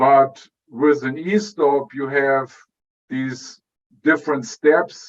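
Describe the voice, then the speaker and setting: A man speaks with a German accent. His pitch varies in an ordinary way. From Germany. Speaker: electrical engineer, product director. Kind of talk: interview. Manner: halting, many fillers.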